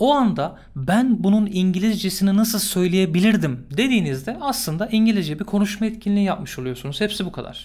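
A man talking at a fairly quick pace. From Turkey. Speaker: English teacher. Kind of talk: tutorial. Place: home room. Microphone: studio mic.

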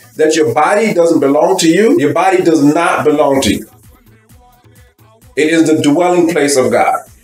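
A man at a moderate pace with ordinary pitch variation and very even loudness, audible room echo, and faint music in the background. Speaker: bible teacher. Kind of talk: sermon. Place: home room. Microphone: webcam.

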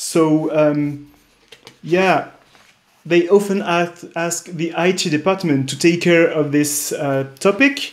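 A very slow, high-pitched man's voice in a French accent, with long, frequent pauses and ordinary pitch variation. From France. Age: 30s. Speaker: tech startup co-founder; presenter. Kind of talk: conference interview and product demo; conference presentation. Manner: hesitant, many fillers. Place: home room. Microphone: webcam.

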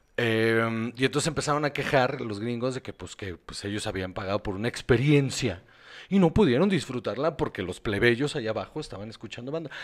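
A man's medium-pitched voice, fairly quick and lively in intonation, with big swings in loudness over a very clean, silent background. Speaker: podcast co-host. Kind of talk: casual chat. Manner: animated.

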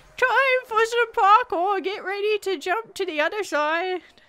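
The put-on character voice shows ordinary pitch variation. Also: woman, extremely high pitch for a woman, moderate pace.

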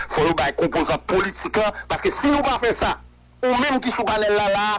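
A man talks in a high pitch with a Haitian accent. Noticeable background noise runs behind him. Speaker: political commentator. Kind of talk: radio interview.

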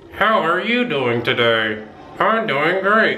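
A man's high-pitched, put-on character voice with very wide pitch swings, at a fairly slow pace, over clear background noise. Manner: fake-sounding, demo of ventriloquism.

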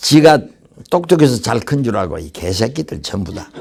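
A man speaks with very wide pitch swings. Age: old. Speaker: English lecturer. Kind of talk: lecture. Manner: halting.

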